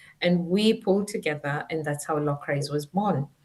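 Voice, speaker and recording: A woman speaks with a Kenyan accent at a fairly quick pace. Her voice is somewhat breathy. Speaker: former teacher and education tech founder. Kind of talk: interview. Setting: live stream.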